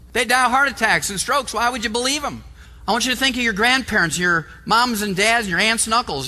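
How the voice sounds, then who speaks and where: A man speaks at a very fast pace in a raised, projected voice with lively intonation. His tone is bright and sharp, and the room echo is audible. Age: 60s. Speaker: health lecturer. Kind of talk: lecture to live audience. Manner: animated.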